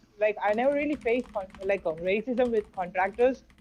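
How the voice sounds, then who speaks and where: With an Indian accent, a woman talks at a fairly quick pace in a fairly high pitch with ordinary pitch variation. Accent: Indian English accent, noticeable. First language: Hindi. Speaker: sales freelancer. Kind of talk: casual chat. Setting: call. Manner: halting. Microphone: keeps cutting out on the call.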